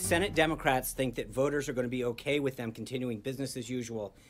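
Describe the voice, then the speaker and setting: Faint music lingers behind the speaker. He is a man talking at a fairly quick pace. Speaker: press spokesperson. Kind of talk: press briefing statement. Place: hall.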